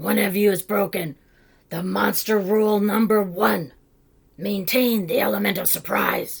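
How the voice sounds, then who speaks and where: At a moderate pace and middle pitch, a raspy put-on character voice carries the lines. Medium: read story. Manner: formal, instructive.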